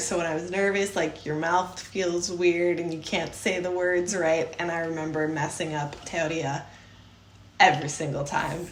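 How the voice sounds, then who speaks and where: A woman with a Chicago accent speaks at a moderate pace in a fairly low pitch, with audible room echo and noticeable background noise. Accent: Chicago American English. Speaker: podcast co-host. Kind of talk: casual chat.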